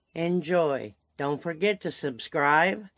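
A woman speaks at a very slow pace with a very deep, low pitch. The sound is dry with no echo, over a quiet background. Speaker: vlogger. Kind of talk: casual vlog chat. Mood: cheerful, laughing. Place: home room. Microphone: phone near.

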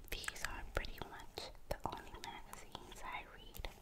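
The voice is whispering. It moves at a very slow pace. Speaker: ASMR creator. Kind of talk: ASMR whisper video. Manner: whispered.

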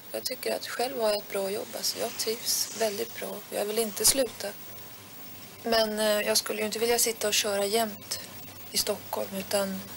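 The intonation is monotone and flat at a moderate pace. Noticeable background noise sits behind the voice. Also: woman. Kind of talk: interview answer. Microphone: old recording.

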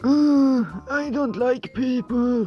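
In a put-on character voice pitched fairly high, the speaker moves at a very slow pace while faint music plays in the background. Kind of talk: comedic skit monologue. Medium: solo performance. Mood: whiny, self-pitying.

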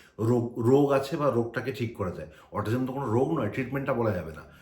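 Noticeable background noise and audible room echo are present in the recording. A man talks with a medium pitch and ordinary pitch variation. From India, Kolkata (West Bengal). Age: 30s. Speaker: IT professional, vlogger's husband. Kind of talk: casual vlog talk to camera.

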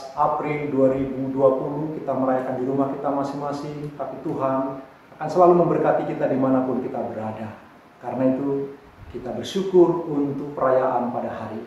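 Strong room echo surrounds a man with fairly even intonation. Light background noise runs underneath. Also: moderate pace. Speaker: pastor. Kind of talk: sermon greeting and prayer. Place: home room. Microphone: camera far.

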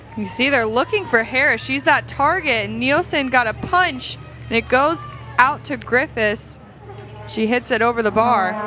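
Speaking at a fairly slow pace, a woman is heard. Music runs behind her. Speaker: color commentator. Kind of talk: live sports commentary with analysis. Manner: measured, explanatory, calmer than play-by-play.

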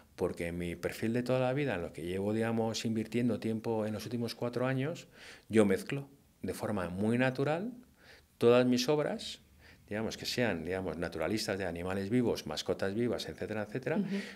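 Here a man speaks at a fairly quick pace. The variation in his pitch is ordinary. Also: medium pitch for a man. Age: 50s. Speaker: hunting-themed painter. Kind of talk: interview conversation. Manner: hesitant with many fillers.

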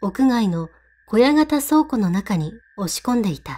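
A woman's fairly high, somewhat breathy voice at a fairly slow pace, with very wide pitch swings. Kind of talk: ghost story reading.

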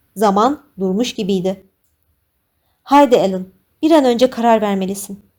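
A woman with a dark, mellow tone and a fairly high pitch talks at a fairly slow pace, with ordinary pitch variation and long, frequent pauses. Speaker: audiobook narrator. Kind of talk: dramatic audiobook narration with tense, pleading character dialogue.

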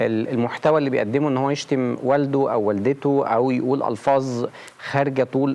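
The speaker is a man. His pitch moves in a fairly even way. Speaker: talk show guest. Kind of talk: interview answer. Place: studio. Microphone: lapel.

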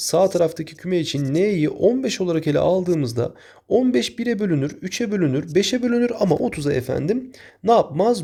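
Moving at a moderate pace, a man speaks at a high pitch in a dark, mellow tone with very wide pitch swings. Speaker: math teacher. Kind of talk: tutorial.

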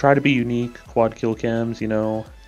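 Noticeable background noise sits under a man speaking quietly at a moderate pace. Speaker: gaming clan leader announcing recruitment. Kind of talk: casual video announcement.

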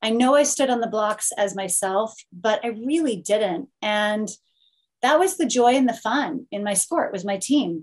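Over a quiet background, a woman with a Californian accent speaks at a fairly slow pace, her pitch fairly high and her intonation lively. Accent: American (Californian). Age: 40s. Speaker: Olympic swimmer, TV broadcaster; guest. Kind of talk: panel discussion. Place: home room. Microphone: webcam.

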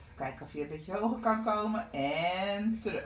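Somewhat breathy, a woman speaks at a very slow pace with audible room echo. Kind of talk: exercise class instruction. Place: home room. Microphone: camera far.

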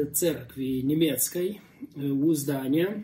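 A man speaks in an ordinary speaking voice. His pitch is fairly high and his intonation fairly even. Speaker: pastor and interviewer. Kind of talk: casual interview.

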